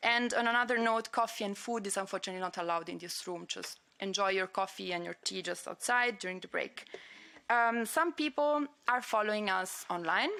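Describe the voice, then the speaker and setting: The tone is bright and sharp, and the pace is fairly quick. An Italian accent comes through with ordinary pitch variation. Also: woman. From Italy. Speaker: conference organizer. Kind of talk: conference opening remarks and housekeeping announcements. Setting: conference room with audience and livestream. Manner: hesitant, with frequent fillers.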